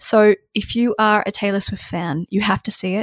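The sound is dry and close with no echo. It carries a plain, everyday voice with fairly even intonation at a moderate pace. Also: woman. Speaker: podcast host. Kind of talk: casual chat. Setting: remote recording.

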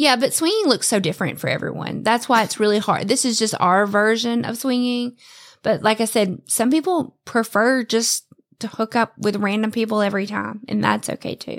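A woman speaks in an unremarkable speaking voice at a fairly high pitch, with ordinary pitch variation. Her pace is moderate, and the recording is very clean with a silent background. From US South. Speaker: swinger podcast co-host. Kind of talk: casual interview.

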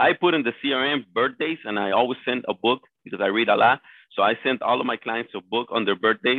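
A man's medium-pitched voice with a Spanish accent, ordinary pitch variation and a fairly quick pace. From Colombia. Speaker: real estate agent. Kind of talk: interview.

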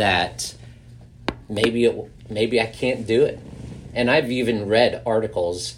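A man speaks at a slow pace in a fairly low pitch. His pitch variation is ordinary.

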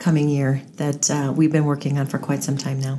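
A woman is speaking. She has an American accent. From Henderson, Nevada. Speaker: mayor-elect. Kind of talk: interview.

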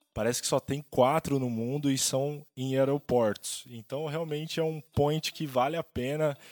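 A man with an unremarkable speaking voice talks at a fairly slow pace, a fairly high pitch and fairly even intonation, with hardly any pauses and a dry, close sound with no echo. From Brazil, São Paulo state (Ribeirão Preto). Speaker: musician and real estate agent, podcast co-host. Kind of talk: casual chat.

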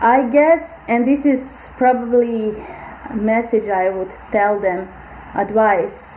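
Through noticeable background noise, a woman with a fairly high pitch speaks at a very slow pace. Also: ordinary pitch variation. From Bosnia and Herzegovina. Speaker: biomedical AI researcher. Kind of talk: interview.

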